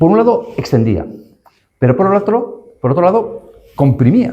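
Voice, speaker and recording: Dark and mellow in tone, a man's voice shows vocal fry. His pitch swings very widely at a moderate pace. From northern Castellón, Valencian Community, Spain. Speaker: law professor, panel speaker. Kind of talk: academic panel talk. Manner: hesitant, with fillers and restarts.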